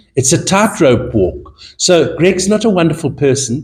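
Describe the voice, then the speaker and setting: His voice is somewhat breathy. This man talks at a moderate pace and his intonation is lively. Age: 70s. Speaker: fashion buyer and judge. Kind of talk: panel interview.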